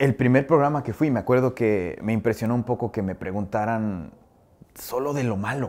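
With ordinary pitch variation, the man moves along at a fairly quick pace. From Mexico. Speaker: TV personality and musician; interviewee. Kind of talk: interview. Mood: warm, animated. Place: studio. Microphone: lapel.

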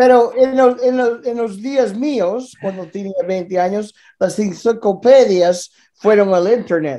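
Against a quiet background, a man with a high pitch and a dark, mellow tone speaks very slowly, his pitch varying in an ordinary way. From Canada (Vancouver area), born in Galicia. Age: 50s. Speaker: former boxing world champion. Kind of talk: casual interview chat. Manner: halting, repetitive. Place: home room. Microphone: video call.

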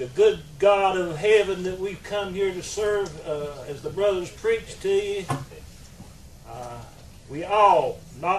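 Slow speech with audible room echo. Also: man.

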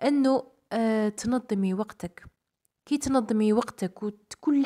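A woman's fairly high pitch and dark, mellow tone, with fairly even intonation and a dry, close sound with no echo. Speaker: homemaker vlogger and mother. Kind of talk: casual vlog narration and advice to mothers. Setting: at home.

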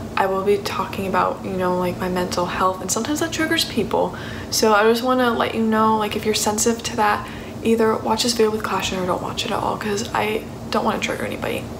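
Over noticeable background noise, a woman talks very fast with ordinary pitch variation. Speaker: vlogger. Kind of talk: casual vlog chat. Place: kitchen. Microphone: phone near.

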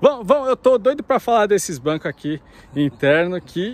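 A man's voice with very wide pitch swings at a moderate pace, in a dry sound with no echo. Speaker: car channel host. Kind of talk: casual car showcase commentary. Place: open country.

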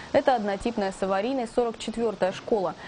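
A woman's fairly high voice, varying in pitch an ordinary amount, comes through noticeable background noise. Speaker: news presenter. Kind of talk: news reading.

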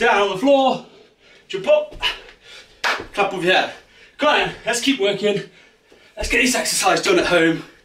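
Audible room echo and light background noise around a man speaking at a moderate pace. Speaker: fitness coach. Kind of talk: workout instruction. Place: home room. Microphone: camera far.

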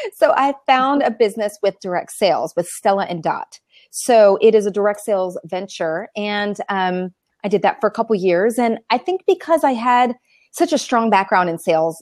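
A woman at a moderate pace against a quiet background, the sound dry with no echo. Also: lively intonation. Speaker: remote interview guest. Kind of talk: interview answer. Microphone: video call.

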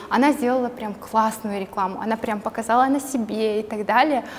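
A woman's high-pitched voice at a moderate pace over light background noise. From Kazakhstan. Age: 20s. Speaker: entrepreneur and blogger. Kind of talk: casual interview chat. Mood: friendly, smiling. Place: studio. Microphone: lapel.

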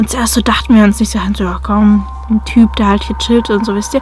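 Faint music plays behind a woman speaking at a moderate pace, the sound dry with no echo. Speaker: vlogger. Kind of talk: casual vlog chat, storytelling. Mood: tense, spooked. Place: car. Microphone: phone near.

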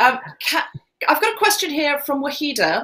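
Using a raised, projected voice, a woman talks. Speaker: comedian and podcaster hosting a charity event; comedian, podcaster hosting a charity event. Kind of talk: hosting a live online charity Q&A. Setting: live stream with headphones. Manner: animated. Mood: warm, lightly humorous. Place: home room.

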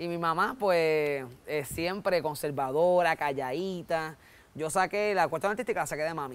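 A man with a Puerto Rican accent talks at a high pitch with ordinary pitch variation. His pace is moderate. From Puerto Rico. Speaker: comedian. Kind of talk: interview. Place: studio. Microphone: lapel.

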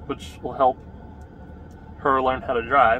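There is music in the background. Over it, a man talks. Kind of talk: casual vlog chat. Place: car. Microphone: phone near.

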